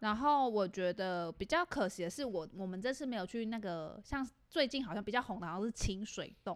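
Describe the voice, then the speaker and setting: A woman talks at a fairly quick pace with hardly any pauses, her fairly high voice full of lively intonation. The recording is very clean, with a silent background. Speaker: podcast co-host. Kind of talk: casual chat. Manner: animated.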